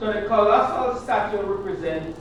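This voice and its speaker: A man speaks at a moderate pace in a high pitch with ordinary pitch variation. There is audible room echo and noticeable background noise. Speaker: Bible class teacher. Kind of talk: Bible class teaching. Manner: interactive, asking questions.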